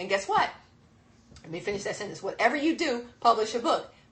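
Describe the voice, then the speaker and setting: Animated female voice with very wide pitch swings over noticeable background noise. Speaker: business speaking coach. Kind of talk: seminar presentation. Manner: fast.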